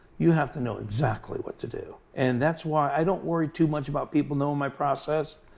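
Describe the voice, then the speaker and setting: Over noticeable background noise, a man with a fairly high pitch speaks at a fairly quick pace with hardly any pauses and fairly even intonation. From New York (Long Island), moved to Florida as child. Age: 60s. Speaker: butterfly collector and craftsman. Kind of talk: casual interview.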